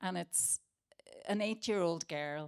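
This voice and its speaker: A woman speaks in a Northern Irish accent. Her pace is moderate and her pitch variation ordinary. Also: very clean recording, silent background. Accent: Derry. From Northern Ireland, Derry. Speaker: playwright and actor. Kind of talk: panel talk. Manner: animated.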